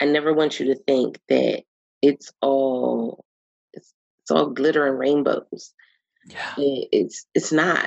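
With a Philadelphia accent, a woman talks at a very slow pace with big swings in loudness, the sound dry and close with no echo. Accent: Philadelphia American. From Philadelphia, US. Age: 30s. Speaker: women's empowerment coach and podcast host. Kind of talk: casual interview chat.

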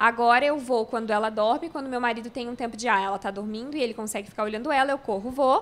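Rushing at a very fast pace with hardly any pauses, a woman with a fairly high pitch keeps fairly even intonation on a very clean recording with a silent background. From Santa Catarina, Brazil (Florianópolis), then Rio Grande do Sul from 14. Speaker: YouTuber, crossfit enthusiast and new mother. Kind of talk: casual interview chat. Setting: podcast studio with cameras.

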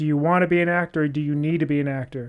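The speech is very fast, with monotone, flat intonation. The background is quiet. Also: man. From US (military family, partly raised in Kentucky). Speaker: former basketballer and MMA fighter. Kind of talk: interview.

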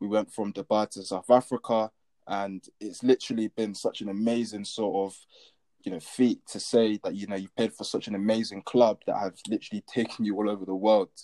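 Delivered at a fairly quick pace with a London accent, the voice has a dark, mellow tone and monotone, flat intonation. The sound is dry and close with no echo, with big swings in loudness. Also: man, fairly low pitch for a man. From London, England. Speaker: athlete. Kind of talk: interview.

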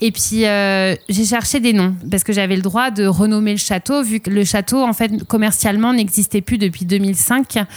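A woman speaks in a plain, everyday voice at a medium pitch and moderate pace, with hardly any pauses. Her intonation is fairly even, her loudness very even, and the recording very clean with a silent background. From southwest France, Arcachon basin. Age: 30s. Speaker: winemaker. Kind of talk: interview testimony.

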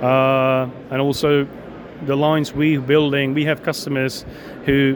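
A man with a Czech accent speaks at a fairly high pitch in a monotone, flat intonation. Noticeable background noise sits behind him. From Czech Republic. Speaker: equipment company executive. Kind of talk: interview. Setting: trade show. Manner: halting.

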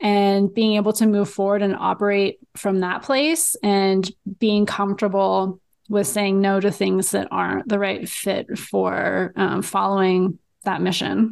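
Against a quiet background, a woman with an American accent and an unremarkable speaking voice talks at a medium pitch and a fairly slow pace. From Los Angeles. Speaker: dietitian and writer. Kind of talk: interview conversation.

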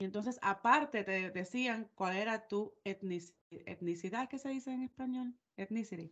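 Hardly any pauses, a moderate pace, ordinary pitch variation, and a plain, everyday voice. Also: woman, fairly high pitch for a woman. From Puerto Rico. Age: 30s. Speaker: podcast co-host. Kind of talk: casual chat.

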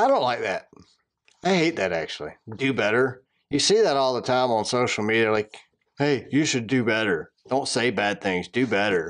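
A man with a Southern accent, moderate pace and lively intonation, against a quiet background. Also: medium pitch for a man. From Atlanta, Georgia. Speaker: podcast host. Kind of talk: casual chat.

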